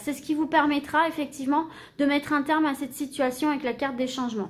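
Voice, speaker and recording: A woman talks at a high pitch with fairly even intonation. Her pace is fairly quick. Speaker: tarot card reader. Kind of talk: tarot reading. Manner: halting; casual.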